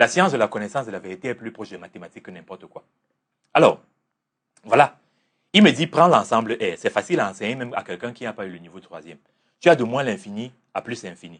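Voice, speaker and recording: Speaking at a very fast pace with long, frequent pauses, a man at medium pitch shows lively intonation and big swings in loudness. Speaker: religious teacher and life coach. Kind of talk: interview. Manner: assertive.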